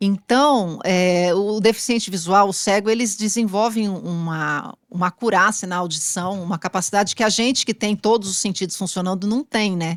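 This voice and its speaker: A woman with an ordinary speaking voice talks at a moderate pace. Her pitch varies in an ordinary way, and she hardly pauses. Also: medium pitch for a woman. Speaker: journalist. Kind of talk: interview.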